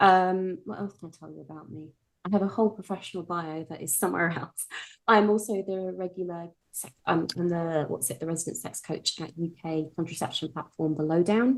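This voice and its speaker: A woman's fairly low voice with a British accent, fairly quick, with ordinary pitch variation and big swings in loudness. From UK. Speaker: sex coach. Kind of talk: podcast interview.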